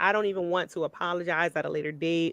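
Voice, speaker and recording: A woman speaks at a moderate pace. The recording is dry and close, with no echo. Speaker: radio host. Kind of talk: casual chat. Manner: loud; direct.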